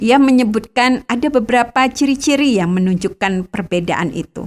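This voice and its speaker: The recording is very clean with a silent background. A woman speaks at a moderate pace with ordinary pitch variation. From Bangka, Indonesia (Batak family). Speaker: radio devotional host. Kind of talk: scripted devotional narration.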